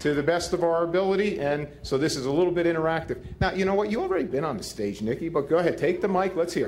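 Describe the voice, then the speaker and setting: With a New Jersey accent and a high voice, a man speaks at a very fast pace with hardly any pauses as room echo sounds around him. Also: ordinary pitch variation. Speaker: football head coach, keynote speaker. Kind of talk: Q&A speech at a gala. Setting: stage at a gala dinner with audience.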